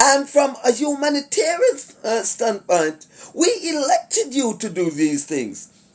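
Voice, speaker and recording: With very wide pitch swings, the delivery unfolds at a fairly slow pace. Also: man, extremely high pitch for a man. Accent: Jamaican. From Jamaica. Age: 60s. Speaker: commentator / vlogger. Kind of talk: casual monologue commentary. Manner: hesitant, many fillers.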